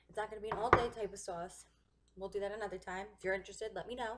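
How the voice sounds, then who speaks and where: Loud background noise accompanies a voice with ordinary pitch variation. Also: woman. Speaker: home cooking vlogger. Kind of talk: casual cooking tutorial chat. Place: kitchen. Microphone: webcam.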